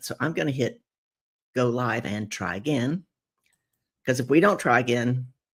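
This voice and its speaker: Raspy and at a moderate pace, a put-on character voice comes through on a very clean recording with a silent background. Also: man. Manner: talking kind of fast.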